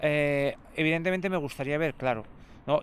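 On a very clean recording with a silent background, a man speaks at a fairly quick pace. His pitch varies in an ordinary way. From Andalusia. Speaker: blind football player and secondary school teacher. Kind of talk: interview conversation. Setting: outdoors in a park. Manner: calm.

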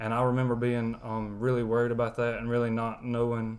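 Monotone, flat intonation at a moderate pace in a strong Southern US accent. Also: man. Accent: thick Southern. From West Alabama, US South. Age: 20s. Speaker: college student. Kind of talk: testimony. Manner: soft-spoken.

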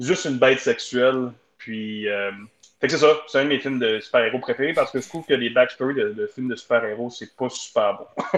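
Talking fairly quickly, a man has a medium pitch and ordinary pitch variation. His is an unremarkable speaking voice. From Ontario. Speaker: community economic development officer. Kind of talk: casual chat.

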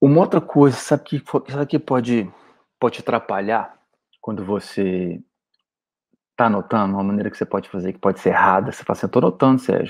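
Talking very fast with lively intonation, a man leaves long, frequent pauses. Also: medium pitch for a man. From Goiânia, Brazil. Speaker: weight-loss diet coach. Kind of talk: solo podcast monologue. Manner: animated.

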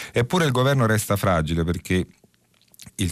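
Talking at a fairly quick pace, a man uses lively intonation. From southern Italy. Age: 50s. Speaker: journalist, radio press review host. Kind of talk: press review and call-in radio.

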